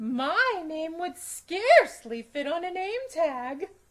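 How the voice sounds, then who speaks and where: Putting on a character voice, a woman talks at an extremely high pitch, very slowly, her pitch swinging very widely. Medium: read story.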